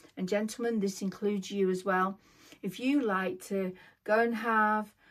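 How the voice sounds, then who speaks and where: A woman with a British accent speaks at medium pitch with fairly even intonation. The recording is very clean and the background silent. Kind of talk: scripted vlog monologue. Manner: impaired, effortful speech from neurological condition; slow, reading from script.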